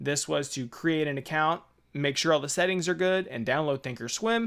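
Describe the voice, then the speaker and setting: Ordinary pitch variation marks this man's fairly high voice. The recording is very clean, with a silent background. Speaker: trading tutorial youtuber. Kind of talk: tutorial. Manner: fast; casual, filler-heavy.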